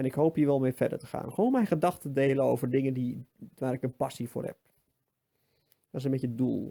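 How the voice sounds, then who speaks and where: A man talks at a very fast pace but with long, frequent pauses, in a medium pitch and a dark, mellow tone. His intonation is fairly even, and the sound is dry and close with no echo. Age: 30s. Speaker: vlogger. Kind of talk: personal monologue. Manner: halting.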